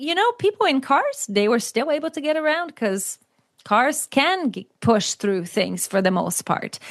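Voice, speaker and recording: Over a quiet background, a woman with a Brazilian accent speaks at a moderate pace, her pitch swinging very widely. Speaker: author and cycling advocate. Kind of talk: interview conversation.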